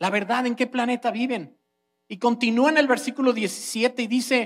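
Speaking at a fairly slow pace, this man has an extremely high pitch. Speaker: preacher. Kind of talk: online sermon, teaching the congregation. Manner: animated, conversational, explaining with rhetorical questions and humor.

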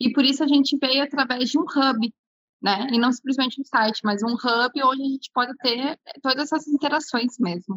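In a Gaúcho Brazilian accent, a woman speaks at a moderate pace with high pitch, ordinary pitch variation and very even loudness. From Porto Alegre, southern Brazil. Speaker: entrepreneur, business co-founder. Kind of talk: interview conversation.

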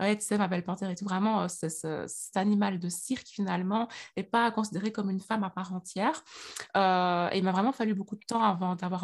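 Somewhat breathy and medium in pitch, a woman speaks at a fairly quick pace with fairly even intonation on a very clean recording with a silent background. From Belgium, Liège. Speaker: astrology coach and author. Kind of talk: interview.

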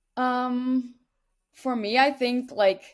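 A woman with a Dutch accent on a very clean recording with a silent background. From Netherlands. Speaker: college distance runner. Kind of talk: interview.

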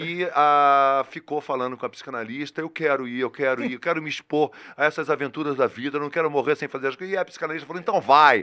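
Bright and sharp, a man's fairly high voice shows ordinary pitch variation at a fairly quick pace. The sound is dry and close with no echo, over a quiet background. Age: 40s. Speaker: podcast guest. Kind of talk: casual chat.

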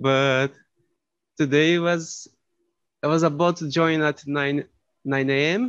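A man with a Brazilian accent speaks at a very slow pace, with a fairly high pitch and fairly even intonation. He leaves long, frequent pauses. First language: Portuguese. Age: 20s. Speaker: master's student, language learner. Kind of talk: casual group chat. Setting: video call, breakout room. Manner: shy, introverted.

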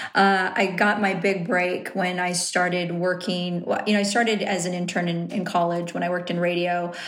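In a Southern California accent, a woman talks at a moderate pace with hardly any pauses, her fairly low voice monotone and flat, with audible room echo and noticeable background noise. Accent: Southern California valley-girl sound. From Riverside, Southern California. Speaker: television personality and journalist. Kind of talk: casual interview.

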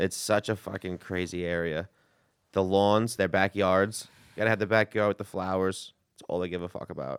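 In a strong New York accent, a man with a very deep, low pitch speaks at a moderate pace in a monotone, flat tone on a very clean recording with a silent background. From New York City. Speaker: stand-up comedian. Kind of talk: casual chat. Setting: studio.

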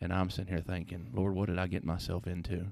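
Someone with a Tennessee accent talks at a very fast pace. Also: man, very clean recording, silent background. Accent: Southern US (Tennessee). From Lebanon, Tennessee. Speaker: pastor. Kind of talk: casual interview. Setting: in the room with host.

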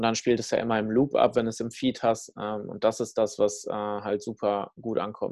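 A man speaks at a medium pitch with hardly any pauses. His intonation is monotone and flat. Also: moderate pace. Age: 20s. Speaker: fitness startup founder and speaker. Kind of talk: casual interview chat.

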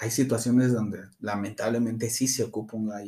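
A man's dark, mellow tone stays in a monotone, flat intonation. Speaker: practitioner of an Afro-Caribbean religion. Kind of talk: interview.

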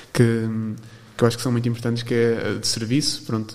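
Through noticeable background noise, a man talks at a medium pitch. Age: 20s. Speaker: university student and volunteer. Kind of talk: interview. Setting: studio. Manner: halting.

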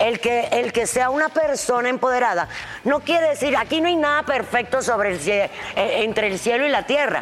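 A woman with a high pitch talks at a moderate pace with lively intonation and very even loudness over noticeable background noise. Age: 50s. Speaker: podcast host. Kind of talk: casual chat. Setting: studio.

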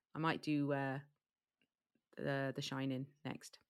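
A woman's bright, sharp tone on a very clean recording with a silent background. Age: 40s. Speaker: podcast host. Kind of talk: casual chat.

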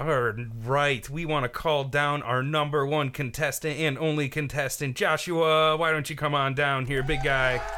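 Using a normal speaking voice, a man talks at a moderate pace with hardly any pauses. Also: fairly high pitch for a man, fairly even intonation. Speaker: podcast host. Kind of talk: casual chat.

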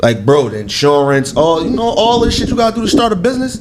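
Very fast speech with very wide pitch swings comes through audible room echo and noticeable background noise. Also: man. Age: 20s. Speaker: clothing store co-owner. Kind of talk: casual chat.

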